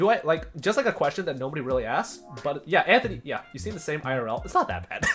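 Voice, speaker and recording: Very fast speech with music in the background. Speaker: streamer. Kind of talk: live stream Q&A. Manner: loud; animated.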